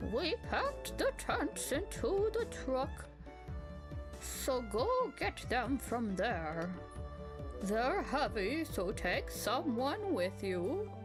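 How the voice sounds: Loud music plays in the background as a put-on character voice moves at a very slow pace.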